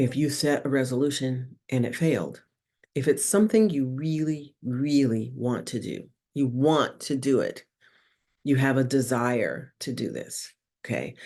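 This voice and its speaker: Her voice is very deep and low, with a dark, mellow tone, ordinary pitch variation and a fairly slow pace. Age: 60s. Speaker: spiritual podcast host. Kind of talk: casual spiritual talk. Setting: video podcast.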